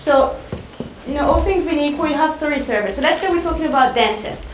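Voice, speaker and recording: A woman with a French accent, with audible room echo and noticeable background noise. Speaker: marketing speaker. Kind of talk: presentation.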